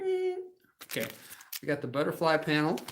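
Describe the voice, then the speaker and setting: A man speaks loudly in an animated tone. His voice is high-pitched. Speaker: crafting demo host. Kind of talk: live crafting show with sales pitch.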